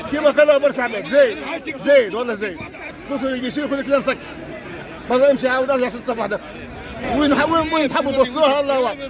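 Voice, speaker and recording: Against crowd noise, a man with an extremely high pitch talks in an animated tone at a very fast pace, with ordinary pitch variation and long, frequent pauses. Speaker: football fan. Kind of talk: street interview.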